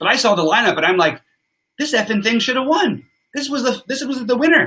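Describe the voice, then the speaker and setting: A man's raised, projected voice, extremely high in pitch, fairly quick, with lively intonation. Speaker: sports betting show host. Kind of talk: live stream sports analysis. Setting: live stream with chat. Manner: forceful.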